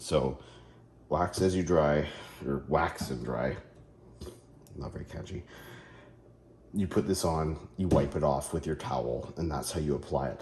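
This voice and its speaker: The man's voice is very deep and low, with long, frequent pauses. Room echo can be heard. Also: ordinary pitch variation. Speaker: car care YouTuber. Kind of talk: product review tutorial. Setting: home garage. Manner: casual, hesitant with fillers.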